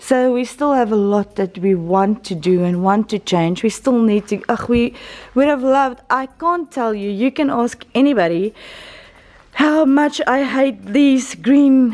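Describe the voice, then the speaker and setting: A woman with an Afrikaans South African accent speaks at a fairly slow pace in a high pitch, her intonation lively. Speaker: church member and vlogger. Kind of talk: casual video update. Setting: church building under construction. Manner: halting, with fillers and repeats.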